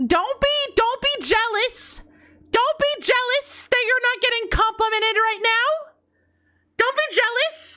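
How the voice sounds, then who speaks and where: In a raised, projected voice of extremely high pitch, a woman speaks at a fairly slow pace with a bright, sharp tone, very even loudness, and ordinary pitch variation. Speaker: vtuber streamer. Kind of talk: live stream chat, reading confessions.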